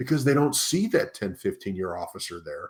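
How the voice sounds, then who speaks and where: The recording is very clean, with a silent background. A man with an American accent talks at a moderate pace, his pitch swinging very widely. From US Midwest. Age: 50s. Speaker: leadership coach. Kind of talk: podcast interview.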